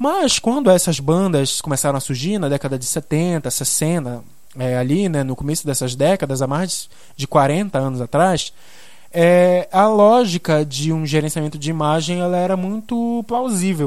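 A man at a fairly slow pace, with fairly high pitch and lively intonation. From Belém do Pará, northern Brazil. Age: 20s. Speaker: journalist and podcast host. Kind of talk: solo podcast monologue. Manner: casual, many filler hesitations.

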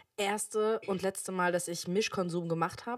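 A woman with a normal speaking voice talks at a fairly quick pace and ordinary pitch variation on a very clean recording with a silent background. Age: 20s. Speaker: podcast co-host, daughter. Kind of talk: casual chat.

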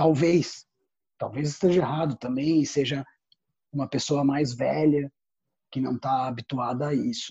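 A man's dark, mellow voice, fairly high-pitched and somewhat breathy, at a fairly slow pace, with a dry, close sound and no echo. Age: 40s. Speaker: theatre artist and researcher. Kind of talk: interview.

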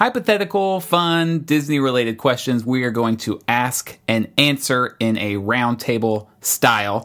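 With an unremarkable speaking voice, a man talks fairly slowly at a medium pitch and with lively intonation, in a very clean recording with a silent background. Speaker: podcast host.

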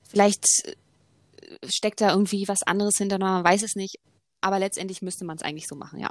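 A woman's medium-pitched voice, very fast yet with long, frequent pauses, monotone and flat, with big swings in loudness and a dry, close sound with no echo. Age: 20s. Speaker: sports coach. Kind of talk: casual chat.

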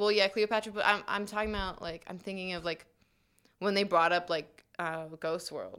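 A woman with an American accent and an unremarkable speaking voice talks at a moderate pace and medium pitch, her intonation fairly even. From New Jersey, suburb of New York City. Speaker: college radio co-panelist. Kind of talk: casual chat. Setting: studio.

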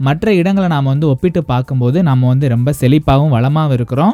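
Lively intonation marks this man's fairly high voice. His tone is dark and mellow. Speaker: community radio host. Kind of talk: radio show presenting.

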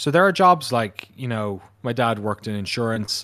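A man with an Irish accent speaks at a moderate pace. The recording is very clean, with a silent background. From Ireland. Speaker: documentary filmmaker. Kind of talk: casual interview chat.

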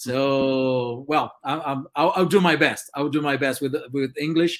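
Speaking at a fairly slow pace, a man with a Brazilian accent uses a medium pitch and fairly even intonation.

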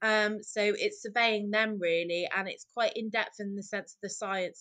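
A woman speaks with a Welsh accent at a medium pitch. Her pace is moderate. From Wales. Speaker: marine mammal medic and wildlife photographer. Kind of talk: casual interview.

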